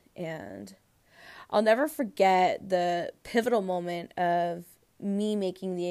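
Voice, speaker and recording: On a very clean recording with a silent background, a woman with an American accent speaks in a fairly low pitch and a dark, mellow tone, with ordinary pitch variation. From California, Central Valley (Tracy). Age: 20s. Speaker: hairstylist and podcast host. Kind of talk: casual personal monologue.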